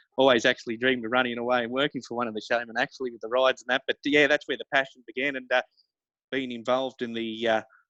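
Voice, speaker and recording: A man with an Australian accent talks at a very fast pace in a medium pitch, his intonation monotone and flat while his loudness swings widely. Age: young. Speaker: rodeo announcer and livestock auctioneer. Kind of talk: interview answer. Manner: hesitant, casual, many fillers.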